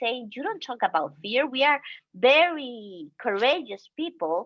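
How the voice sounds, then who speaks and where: In a Guatemalan accent, a woman speaks at a high pitch with very wide pitch swings. Her pace is fairly slow. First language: Spanish. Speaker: human rights defender. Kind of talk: panel talk. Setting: video call. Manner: halting.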